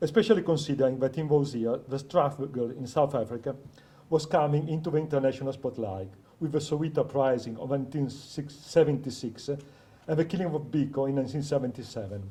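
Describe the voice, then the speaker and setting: A man with a non-native accent speaks at a fairly quick pace and fairly high pitch, with ordinary pitch variation. His tone is dark and mellow and somewhat breathy. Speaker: PhD researcher. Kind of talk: academic conference paper. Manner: reading from script.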